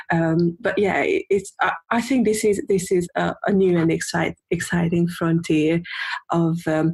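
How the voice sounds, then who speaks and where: Speaking at a fairly slow pace, a woman uses a fairly low, somewhat breathy voice with ordinary pitch variation and very even loudness. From Hungary. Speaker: UX and voice designer. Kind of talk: interview. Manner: halting, many repetitions and fillers.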